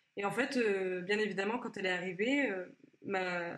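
This woman's voice sits at a medium pitch, moving at a moderate pace with fairly even intonation. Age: 20s. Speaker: former employee sharing her story. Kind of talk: testimony. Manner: halting.

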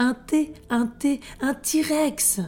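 This female-sounding voice is a high-pitched put-on character voice from a woman. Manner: stuttering with fear.

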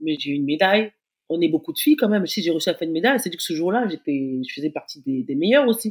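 A woman at a very fast pace, her pitch swinging very widely. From Africa. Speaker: retired athlete. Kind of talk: casual interview.

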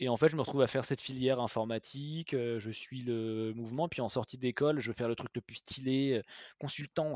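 In a very clean recording with a silent background, dry and close with no echo, a man in a normal speaking voice talks at a fairly quick pace with medium pitch and fairly even intonation. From Paris suburbs, France. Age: 30s. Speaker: entrepreneur. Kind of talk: interview conversation.

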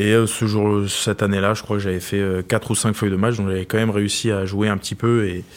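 At a fairly quick pace, a man with a fairly low pitch speaks in a monotone, flat intonation, in a very clean recording with a silent background. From France, Loire region. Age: 20s. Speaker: professional rugby player. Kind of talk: interview.

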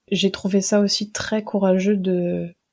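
A woman speaks very slowly at a medium pitch, somewhat breathy with a dark, mellow tone and monotone, flat intonation, on a very clean recording with a silent background. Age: 20s. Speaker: history student and archives employee. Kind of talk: casual interview about a book.

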